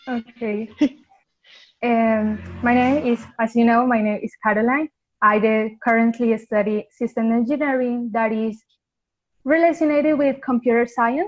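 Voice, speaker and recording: With a Colombian accent, a woman speaks at a fairly slow pace. Her voice is fairly high, with fairly even intonation. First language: Spanish. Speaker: university student, robotics alum. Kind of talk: panel interview. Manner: halting.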